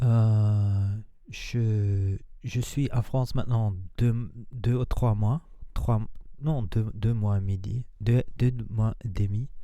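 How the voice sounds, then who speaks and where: A man with a non-native accent speaks very slowly, leaving long, frequent pauses. His tone is dark and mellow, his loudness very even and his intonation fairly even. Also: medium pitch for a man. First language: not French (speaking French). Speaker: spiritual and manifestation coach. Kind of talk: casual vlog monologue. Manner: halting, many hesitations.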